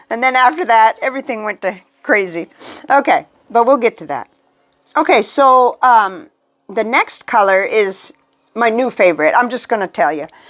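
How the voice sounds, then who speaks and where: A woman talks at a moderate pace, leaving long, frequent pauses. Her fairly high pitch moves in very wide swings. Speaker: fountain pen hobbyist. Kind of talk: casual talk to camera.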